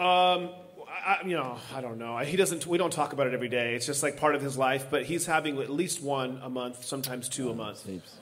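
Audible room echo surrounds a man speaking at a fairly quick pace, his fairly high pitch showing ordinary variation. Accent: American. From Southern California. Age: 30s. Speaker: pastor. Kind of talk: casual interview.

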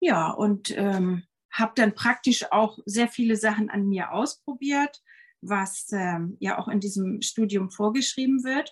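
A woman talks very slowly in a somewhat breathy, fairly high voice, her pitch varying in an ordinary way. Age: 50s. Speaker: yoga teacher and ayurveda health consultant. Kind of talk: casual interview chat. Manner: hesitant, many fillers.

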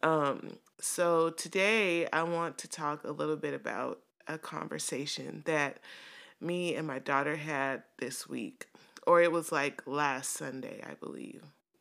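Very deep and low in pitch, a woman speaks with an American accent, a warm tone and vocal fry. Her pace is fairly slow, with ordinary pitch variation. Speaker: podcast host, widow and mother. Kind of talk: solo podcast monologue, casual and personal. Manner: warm, conversational, laughs often.

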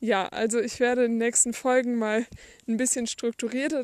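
A woman's high-pitched voice, monotone with flat intonation, in a dry, close recording with no echo. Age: young. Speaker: podcaster, school leaver. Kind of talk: casual monologue. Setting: outdoors, walking. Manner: unscripted, somewhat halting.

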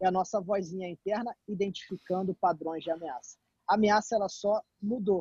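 A moderate pace with a dry, close sound and no echo. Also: man. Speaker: startup CEO, former footballer. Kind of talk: casual chat.

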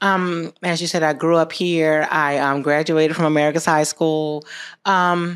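A woman with a very deep, low voice, ordinary pitch variation and a moderate pace, on a very clean recording with a silent background. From Americus, southwest Georgia, US South. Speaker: health services CEO, military veteran. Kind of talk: casual interview chat.

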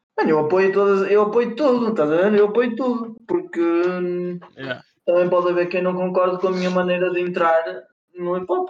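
A man talks at a moderate pace with a high pitch. His pitch varies in an ordinary way. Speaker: rapper. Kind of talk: casual chat. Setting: voice call. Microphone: poor audio quality.

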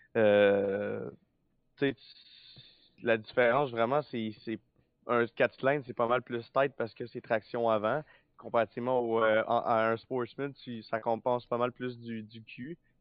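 Intonation stays fairly even. The pace is very slow, with long, frequent pauses. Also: man, medium pitch for a man. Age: young. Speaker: race car driver. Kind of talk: interview.

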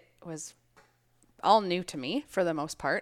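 Heard in a very clean recording with a silent background, a woman speaks with a Minnesotan accent. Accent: Minnesota. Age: 30s. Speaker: gym member, Navy veteran and nurse. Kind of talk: casual interview.

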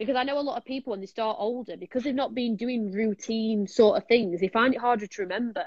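A woman with a Yorkshire accent talks at a very fast pace with hardly any pauses, her fairly high voice showing ordinary pitch variation. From Sheffield, Yorkshire, northern England. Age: 20s. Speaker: martial arts instructor. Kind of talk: casual chat. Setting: online live stream.

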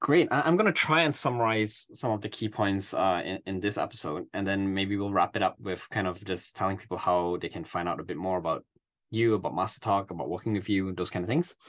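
Against a quiet background, a man talks at a fairly quick pace with hardly any pauses, his fairly low voice showing ordinary pitch variation. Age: 30s. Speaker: podcast host, startup founder. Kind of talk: podcast interview. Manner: halting, many fillers and restarts.

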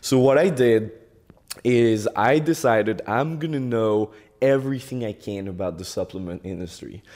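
A man uses an ordinary speaking voice, medium in pitch, his lively intonation moving at a moderate pace. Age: 20s. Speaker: e-commerce entrepreneur. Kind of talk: interview.

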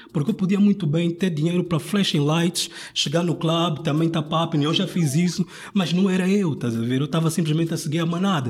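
High-pitched male speech at a fairly quick pace, with very even loudness and fairly even intonation. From Angola (Luanda). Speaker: rapper and design student. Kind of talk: casual chat.

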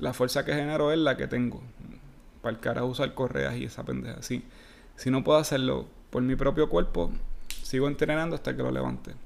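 Speaking at a fairly quick pace with a Puerto Rican accent, a man leaves long, frequent pauses. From Puerto Rico. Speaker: fitness coach. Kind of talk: casual solo podcast.

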